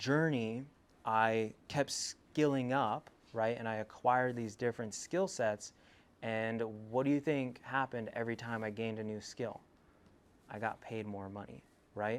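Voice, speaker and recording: Speaking with an American accent at a moderate pace, the voice shows ordinary pitch variation, big swings in loudness and long, frequent pauses on a very clean recording with a silent background. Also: man. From California, US (Selma, Central Valley). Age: 20s. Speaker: entrepreneur giving a talk. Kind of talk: motivational school presentation.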